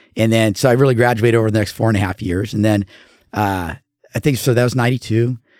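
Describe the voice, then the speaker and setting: Recorded very cleanly against a silent background, a man talks very fast with fairly even intonation. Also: medium pitch for a man, dry, close sound with no echo. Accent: American. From Southern California. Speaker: mortgage professional. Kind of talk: casual interview chat.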